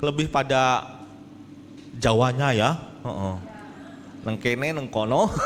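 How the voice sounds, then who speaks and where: A man's medium-pitched voice at a very slow pace, with long, frequent pauses, ordinary pitch variation, audible room echo and noticeable background noise. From Indonesia, rural Jambi, Sumatra. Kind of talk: sermon. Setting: church hall with audience. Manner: animated, joking.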